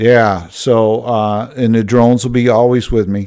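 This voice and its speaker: A medium-pitched man with a Midwestern accent, a dark, mellow tone and fairly even intonation, on a very clean recording with a silent background. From Michigan, Grand Rapids. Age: 60s. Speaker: drone videographer livestreamer. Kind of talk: casual chat. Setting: live stream. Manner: halting.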